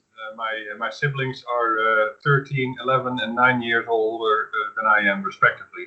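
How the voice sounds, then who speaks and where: A man with a Dutch accent speaks at medium pitch. His pace is moderate. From Netherlands. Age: 50s. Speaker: podcast host. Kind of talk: casual chat.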